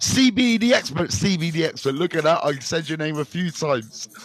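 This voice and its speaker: A loud voice with a West Country accent carries lively intonation at a moderate pace over noticeable background noise. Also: man. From Bristol, England. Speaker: recovery mentor. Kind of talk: live stream chat. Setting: live stream. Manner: animated.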